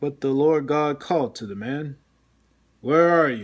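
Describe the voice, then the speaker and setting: A man puts on a character voice pitched fairly high. He talks fairly slowly on a very clean recording with a silent background. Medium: read story. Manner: commanding, solemn.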